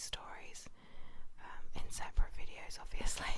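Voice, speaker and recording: The speaker whispers. The pace is fairly slow. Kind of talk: whispered bedtime story reading. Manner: whispered, soft-spoken.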